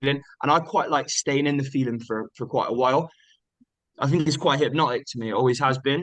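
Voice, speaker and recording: A man with a West Country accent, recorded with a dry, close sound and no echo. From Bristol, England. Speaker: singer-songwriter. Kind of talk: interview answer. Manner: relaxed, conversational.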